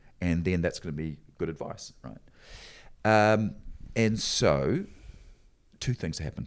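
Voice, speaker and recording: With a New Zealand accent, a man speaks at a very deep, low pitch and a fairly slow pace, using lively intonation, big swings in loudness and long, frequent pauses, on a very clean recording with a silent background. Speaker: motivational speaker and adventurer. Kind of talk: casual interview. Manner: halting.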